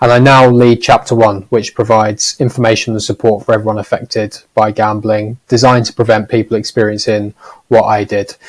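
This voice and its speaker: With a Norfolk accent, a man of medium pitch speaks at a fairly quick pace in a monotone, flat intonation. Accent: Norfolk accent, noticeable. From Norfolk, eastern England. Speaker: gambling harm charity leader. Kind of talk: panel discussion.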